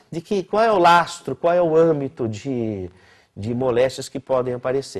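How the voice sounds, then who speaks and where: A man speaks at a fairly slow pace with very wide pitch swings. The recording is very clean, with a silent background. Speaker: physician lecturer. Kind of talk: lecture.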